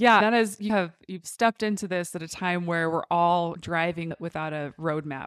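An ordinary speaking voice moves at a moderate pace with ordinary pitch variation, in a dry, close sound with no echo. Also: woman. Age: 30s. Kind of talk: casual interview. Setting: in person at a store.

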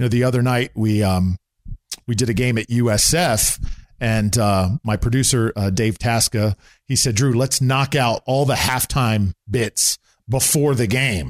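A normal speaking voice at very even loudness, ordinary pitch variation and a fairly slow pace, on a very clean, dry, close recording with a silent background and no echo. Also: man, medium pitch for a man. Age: 40s. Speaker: sports play-by-play broadcaster. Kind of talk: casual interview. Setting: in his home condo.

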